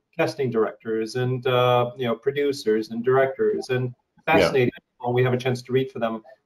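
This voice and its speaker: Talking at a fairly quick pace, a man keeps to a monotone with flat intonation. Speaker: interviewer. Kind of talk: interview question. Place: home room. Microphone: video call.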